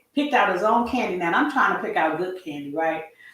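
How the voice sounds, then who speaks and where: Audible room echo around a woman's voice with an American accent. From California. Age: 50s. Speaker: retiree lifestyle vlogger. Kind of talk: livestream chat. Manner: rambling casual.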